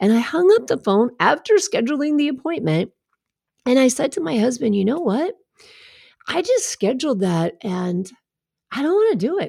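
Her voice is high-pitched with a dark, mellow tone, and this woman moves at a moderate pace through very wide pitch swings and long, frequent pauses on a very clean recording with a silent background. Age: 50s. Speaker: podcast host and life coach. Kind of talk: solo podcast monologue.

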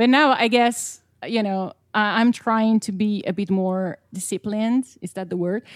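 A woman with an Italian accent, fairly high-pitched, at a fairly slow pace and with fairly even intonation, in a very clean recording with a silent background and a dry, close sound with no echo. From Italy. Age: 20s. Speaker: singer-songwriter. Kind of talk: casual chat.

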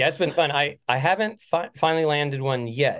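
In a plain, everyday voice, a man speaks at a moderate pace with ordinary pitch variation. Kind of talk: casual chat.

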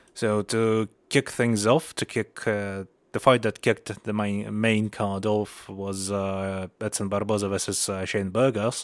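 A man with a Russian accent speaks at a fairly low pitch and a fairly slow pace in a monotone, flat way. The recording is very clean with a silent background, and the sound is dry and close with no echo. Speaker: MMA podcast host. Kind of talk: solo podcast commentary. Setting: home recording. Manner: halting.

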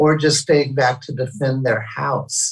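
A somewhat breathy man at a fairly high pitch, talking at a moderate pace. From St. Louis, Missouri. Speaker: touring musician's partner. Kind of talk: casual chat. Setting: video call.

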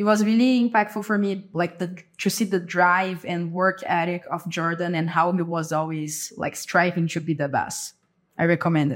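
With a Brazilian accent, a woman talks at a moderate pace in a fairly low pitch and with fairly even intonation. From Brazil, São Paulo state countryside. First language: Portuguese. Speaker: case coach, former management consultant. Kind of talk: interview.

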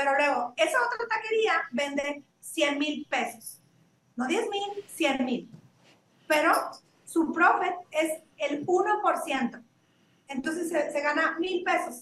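Extremely high in pitch, a woman speaks at a very slow pace with lively intonation. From Mexico. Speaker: beauty brand founder. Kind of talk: interview. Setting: remote call.

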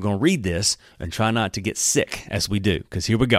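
Recorded very cleanly against a silent background, a man with an Alabama accent speaks at a moderate pace with a fairly low pitch and an animated tone. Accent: Southern US (Alabama). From US South. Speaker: pastor. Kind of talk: Bible teaching podcast. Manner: casual, animated.

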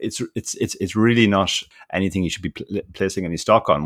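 Someone talks at a very fast pace with an Irish accent and ordinary pitch variation. The sound is dry and close with no echo, on a very clean recording with a silent background. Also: man. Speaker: professional poker player and podcaster. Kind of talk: casual interview.

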